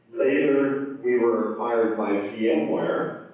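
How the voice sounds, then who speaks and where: A man talks with ordinary pitch variation amid noticeable background noise and audible room echo. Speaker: conference speaker, software engineer. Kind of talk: conference talk.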